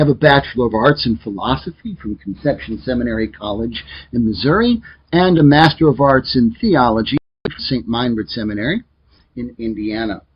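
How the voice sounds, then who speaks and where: Speaking with an American accent, a man uses lively intonation at a medium pitch. His voice is somewhat breathy and his pace fairly quick. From US Midwest, Joliet, Illinois. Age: 40s. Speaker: teacher. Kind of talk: lecture.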